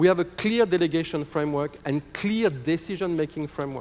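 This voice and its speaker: A man speaks with a fairly high pitch at a fairly quick pace. His intonation is lively. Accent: French. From France. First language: French. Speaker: football association executive. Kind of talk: conference presentation. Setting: conference hall.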